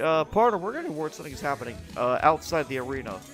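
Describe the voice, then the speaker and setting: Music plays in the background as a man talks at a very fast pace. His pitch is fairly high. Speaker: wrestling commentator. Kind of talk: sports commentary, play-by-play.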